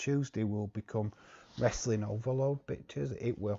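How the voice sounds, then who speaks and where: Somewhat breathy, a man's fairly low voice shows ordinary pitch variation. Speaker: wrestling streamer. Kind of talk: live watch-along commentary. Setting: live stream. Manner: casual, halting.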